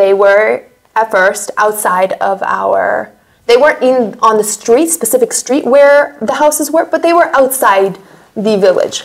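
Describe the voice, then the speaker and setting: Against a quiet background, a woman with a fairly high pitch talks at a fairly slow pace with lively intonation. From United States. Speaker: war survivor; interviewee. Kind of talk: interview testimony. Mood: earnest, recalling hard memories. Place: studio.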